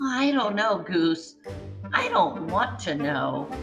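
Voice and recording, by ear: A woman does a put-on character voice, fairly low in pitch with a fairly bright tone and big pitch swings. She speaks slowly amid strong room echo and faint background music.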